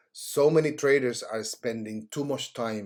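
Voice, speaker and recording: With a Cuban accent, a man speaks at a fairly slow pace in a medium pitch and with fairly even intonation. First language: Spanish. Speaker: trading educator. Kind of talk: tutorial. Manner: halting.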